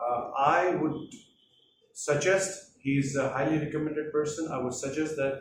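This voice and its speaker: Speaking at a moderate pace with fairly even intonation, a man with an Indian accent uses a fairly high pitch. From Hyderabad, India. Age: 40s. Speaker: IT professional. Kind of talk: testimonial to camera.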